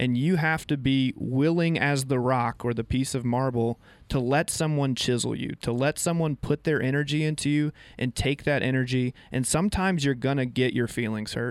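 In a normal speaking voice, the speaker keeps a moderate pace, fairly even intonation and very even loudness, with a dry, close sound with no echo on a very clean recording with a silent background. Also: man, medium pitch for a man. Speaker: radio co-host and volleyball coach. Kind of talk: local radio sports show chat, ad read. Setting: radio studio. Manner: casual, conversational.

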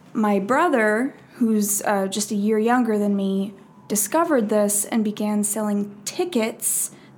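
A woman speaks at a very slow pace with a fairly high pitch. Her voice is somewhat breathy, with ordinary pitch variation. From Minnesota. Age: 20s. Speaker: actor. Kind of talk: casual chat.

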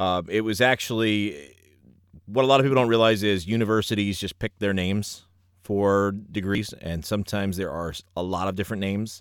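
Speaking at a fairly quick pace with a New York accent, a man uses a fairly low pitch and fairly even intonation on a very clean recording with a silent background. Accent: New York area American. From New Jersey, US. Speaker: ring announcer and former professor. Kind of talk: casual interview.

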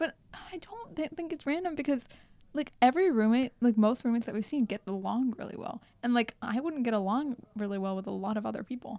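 Speaking at a fairly quick pace, a woman uses lively intonation, a high pitch and a dark, mellow tone. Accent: General American. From US, Indian heritage. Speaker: podcast co-host, university student. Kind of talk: casual chat.

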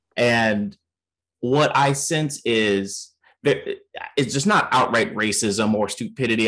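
A man of medium pitch speaks in a normal speaking voice with ordinary pitch variation. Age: 30s. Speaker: podcast host. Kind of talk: casual chat.

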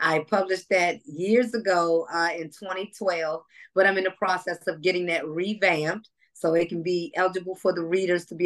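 Using a normal speaking voice, a woman talks at a moderate pace with a fairly low pitch and fairly even intonation. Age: 40s. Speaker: author and evangelist. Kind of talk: interview.

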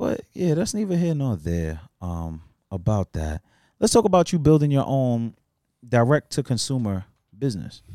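This man has a dark, mellow tone and swings his pitch very widely. He talks at a moderate pace, and the sound is dry and close with no echo. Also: medium pitch for a man, very clean recording, silent background. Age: 30s. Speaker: podcast host. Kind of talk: casual podcast chat.

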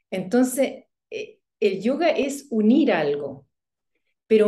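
Speaking very slowly at a high pitch, a woman has a dark, mellow tone and very wide pitch swings. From Chile. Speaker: yoga instructor. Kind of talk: interview conversation.

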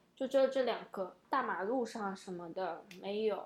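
A woman talks at a moderate pace and medium pitch, with ordinary pitch variation and an unremarkable speaking voice. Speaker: podcast host. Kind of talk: casual chat.

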